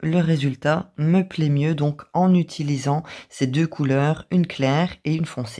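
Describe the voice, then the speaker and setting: A woman talks at a very slow pace. Her voice is very deep and low, with a dark, mellow tone. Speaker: craft youtuber. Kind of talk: tutorial.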